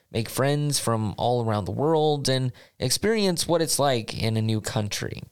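Medium-pitched man at a moderate pace with lively intonation, on a very clean recording with a silent background. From United States. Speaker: podcast host and master's student. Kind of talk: scripted podcast monologue.

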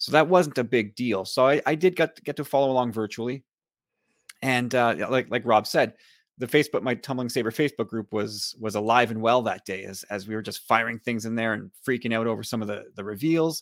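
Over a very clean recording with a silent background and a dry, close sound with no echo, a man in a plain, everyday voice talks fairly quickly at a medium pitch with ordinary pitch variation. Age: 40s. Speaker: podcaster. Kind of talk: casual chat.

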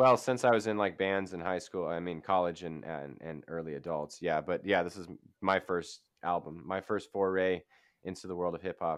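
Over a quiet background, a man with a very deep, low pitch speaks at a moderate pace with ordinary pitch variation. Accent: American. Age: 30s. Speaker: author and podcaster. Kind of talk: casual interview. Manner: halting, many fillers.

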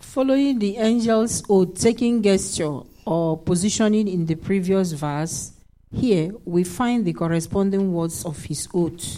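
With a dark, mellow tone, a woman speaks at a fairly slow pace and medium pitch with ordinary pitch variation. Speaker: Bible study participant. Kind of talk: reading aloud.

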